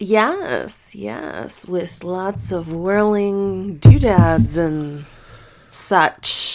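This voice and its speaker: Soft-spoken and fairly low in pitch, a woman speaks at a very slow pace with lively intonation. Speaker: podcast host. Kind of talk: casual chat. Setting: home recording.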